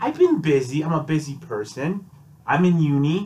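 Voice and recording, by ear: A man speaks at a fairly high pitch with big pitch swings, his voice nasal and slightly mellow in tone. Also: moderate pace.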